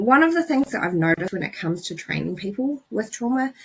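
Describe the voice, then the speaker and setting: A somewhat breathy woman's voice with a New Zealand accent. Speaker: psychologist. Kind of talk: educational talk to camera. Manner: casual, plain-spoken.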